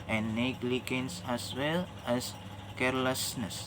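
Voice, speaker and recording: A man with an Indonesian accent speaks at medium pitch and a very slow pace. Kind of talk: religious reminder talk to camera. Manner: hesitant, non-fluent English.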